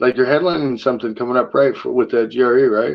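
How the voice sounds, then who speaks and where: A man talks at a very fast pace. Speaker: podcast host. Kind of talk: casual chat. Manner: mumbling.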